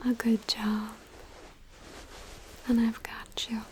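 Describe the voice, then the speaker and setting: Soft-spoken and gentle in tone, the voice moves at a very slow pace over noticeable background noise. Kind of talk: ASMR comfort video. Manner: soft-spoken, gentle.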